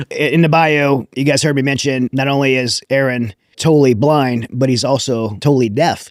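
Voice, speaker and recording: A man with an American accent speaks at a moderate pace and a medium pitch, with hardly any pauses. His intonation is fairly even and his loudness very even. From Louisiana. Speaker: podcast host. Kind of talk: interview.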